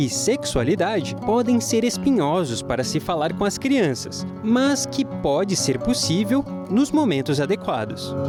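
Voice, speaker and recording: Music plays behind a man who talks very slowly. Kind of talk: TV program intro voiceover, presenter-style reading.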